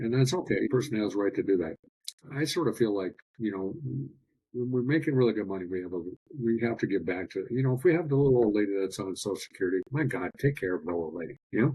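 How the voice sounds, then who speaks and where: Very fast pace with lively intonation. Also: man, medium pitch for a man. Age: 60s. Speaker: biological dentist. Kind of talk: podcast interview.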